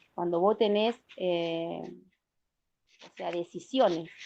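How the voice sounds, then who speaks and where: A dark, mellow tone over a quiet background. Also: woman. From Argentina, Santa Fe province. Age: 40s. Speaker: protective mother. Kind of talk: interview testimony. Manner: emphatic.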